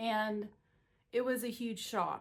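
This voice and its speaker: In an American accent, a woman talks at a very slow pace. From Missouri. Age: 60s. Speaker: watercolor painter. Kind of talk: personal story talk to camera.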